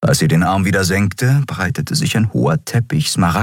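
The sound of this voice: Unforced reading voice, intonation lively throughout.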